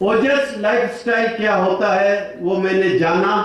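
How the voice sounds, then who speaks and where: Noticeable background noise and audible room echo accompany a voice with fairly even intonation. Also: man. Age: 60s. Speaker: retired engineer sharing health testimony. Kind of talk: testimony.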